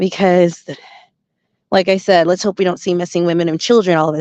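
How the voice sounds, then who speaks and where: With an American accent and a plain, everyday voice, a woman speaks at a fairly quick pace and a fairly low pitch. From US West, Las Vegas. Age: 40s. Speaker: spiritual commentator. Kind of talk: monologue commentary. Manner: casual, conversational.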